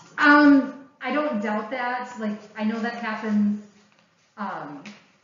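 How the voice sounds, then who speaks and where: A woman with a fairly high voice talks very slowly. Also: ordinary pitch variation. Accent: American. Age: 40s. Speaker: educator and speaker. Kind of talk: public presentation. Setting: library talk with live audience.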